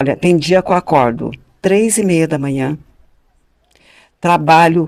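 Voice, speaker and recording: A woman's very deep, low voice with ordinary pitch variation at a moderate pace. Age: 60s. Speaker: podcast guest. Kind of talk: casual chat. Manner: animated.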